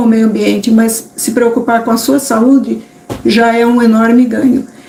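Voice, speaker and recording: Against noticeable background noise, a woman talks in a high-pitched voice. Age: 60s. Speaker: vegan cooking youtuber. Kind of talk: live stream talk. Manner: halting.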